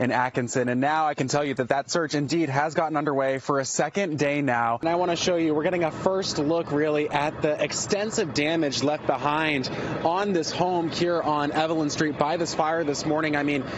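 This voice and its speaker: Over noticeable background noise, a man speaks at a moderate pace with an energetic tone, a fairly high pitch, very even loudness and hardly any pauses. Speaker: news reporter. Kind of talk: television news reporting. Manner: urgent, energetic, live-report delivery.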